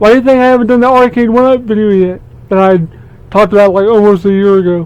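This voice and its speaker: Mumbling, a man speaks at a high pitch with fairly even intonation. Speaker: gaming YouTuber. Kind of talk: casual vlog monologue. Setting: basement room at home. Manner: halting, repeats words.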